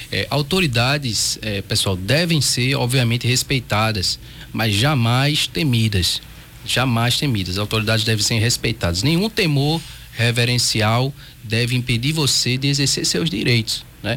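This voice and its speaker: A man in a Pernambuco accent, medium in pitch, at a fairly slow pace with ordinary pitch variation and very even loudness, over noticeable background noise. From Pernambuco, Brazil. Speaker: federal judge. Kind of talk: radio interview. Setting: radio studio.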